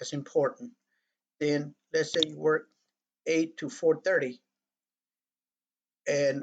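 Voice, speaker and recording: The speaker is a man with a fairly high pitch. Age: 60s. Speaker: tutorial presenter. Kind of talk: tutorial. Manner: casual with frequent fillers.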